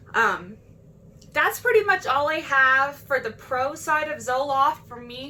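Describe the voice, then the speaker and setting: Raising and projecting her voice, a woman speaks at a high pitch in a bright, sharp tone with very wide pitch swings. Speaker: mental health vlogger. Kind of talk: casual vlog monologue. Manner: fast.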